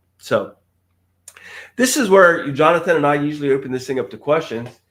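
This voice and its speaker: This man has an ordinary speaking voice, fairly high in pitch, with lively intonation and a fairly quick pace. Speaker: government contracting trainer. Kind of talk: live stream training talk. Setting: live stream.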